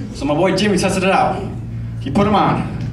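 A man at a moderate pace, lively in his intonation, with audible room echo and light background noise. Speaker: stand-up comedian. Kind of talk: stand-up comedy set. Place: stage.

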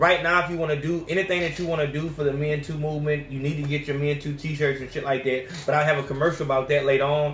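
A man at a very fast pace with monotone, flat intonation, amid audible room echo and light background noise. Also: hardly any pauses. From Alabama. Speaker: podcast host. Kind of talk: angry rant. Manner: loud, fired-up, profane; repetitive, emphatic. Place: home room.

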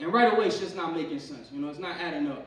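Very fast, animated male speech with ordinary pitch variation, audible room echo and light background noise. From Pennsylvania, US. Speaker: stand-up comedian. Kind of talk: stand-up comedy set, crude and profane, riffing on roaches, gym advice and his girlfriend; stand-up comedy set. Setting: comedy club stage with audience. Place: stage.

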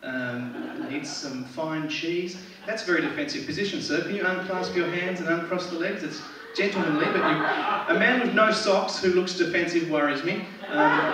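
Speaking at a moderate pace with an Australian accent, a man is heard over loud background noise with audible room echo. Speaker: stand-up comedian. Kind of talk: stand-up comedy set. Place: stage.

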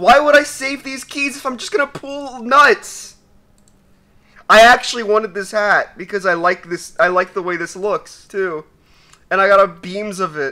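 The voice is raised and projected, with lively intonation, big swings in loudness and a moderate pace. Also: man. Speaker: gaming youtuber. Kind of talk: casual gaming commentary. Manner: animated.

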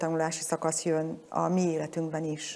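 Dark, mellow, fairly low-pitched speech from a woman. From Hungary, Budapest; Hungary. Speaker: former member of parliament, government commissioner for music education; interview guest. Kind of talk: studio interview. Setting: studio. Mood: calm, thoughtful. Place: hall. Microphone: lapel.

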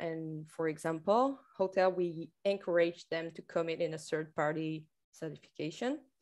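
A woman speaks with a French accent and a fairly low pitch. The background is quiet. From France. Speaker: tourism marketing manager. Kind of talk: conference presentation. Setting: video call. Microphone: video call.

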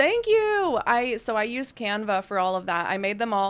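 In an American accent, the words come out at a fairly unhurried rate. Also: woman. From US South. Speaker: video game streamer. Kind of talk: casual live stream chat. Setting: live stream. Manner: animated. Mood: warm, playful. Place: home room. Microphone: studio mic.

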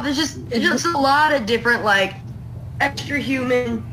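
A woman talks at a moderate speed, with noticeable noise in the background. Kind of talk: casual conversational explanation. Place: home room.

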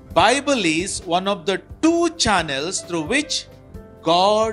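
Faint music plays in the background. A man speaks at a very slow pace with a high pitch. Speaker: priest explaining scripture. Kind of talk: interview answer. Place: studio. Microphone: handheld.

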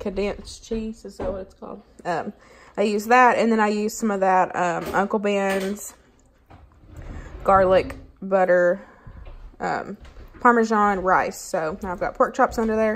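At a moderate pace, the speaker uses fairly even intonation with long, frequent pauses. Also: woman. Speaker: home cook vlogger. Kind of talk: casual vlog chat. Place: kitchen. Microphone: phone near.

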